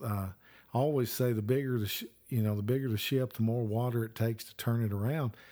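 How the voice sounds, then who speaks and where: A man's dark, mellow tone in a Southern US accent, with fairly even intonation. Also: very clean recording, silent background. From Alabama. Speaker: children's ministry coach and podcast host. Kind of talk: teaching conversation.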